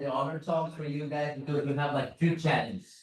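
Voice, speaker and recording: A man with a Brazilian Portuguese accent talks at a fairly high pitch. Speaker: security consultant and conference speaker. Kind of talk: conference talk. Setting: stage with audience. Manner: casual, conversational.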